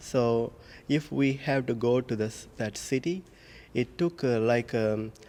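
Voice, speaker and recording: Very slowly, a man with an Indian accent speaks in a medium pitch and a dark, mellow tone, with ordinary pitch variation. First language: Indian language. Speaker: priest. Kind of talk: homily. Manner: halting.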